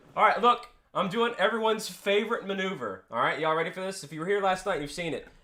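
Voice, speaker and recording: Raised and projected, a man's voice has a bright, sharp tone. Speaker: gaming streamer. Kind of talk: live stream reaction chat. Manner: casual, halting.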